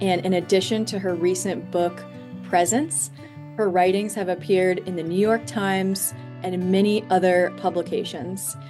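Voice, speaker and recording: Medium-pitched speech from a woman at a moderate pace, with ordinary pitch variation and music in the background. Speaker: spiritual coach. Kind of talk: podcast interview host.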